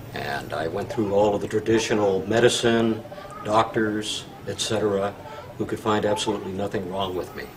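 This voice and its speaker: Music plays in the background and room echo is audible as a man with a fairly low pitch talks at a moderate pace with ordinary pitch variation. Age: 60s. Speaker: patient. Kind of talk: testimony. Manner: halting, many filler words.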